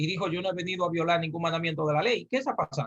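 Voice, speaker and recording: A man talks at a very fast pace in an animated tone. His pitch is high. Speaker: religious teacher. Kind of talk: lecture.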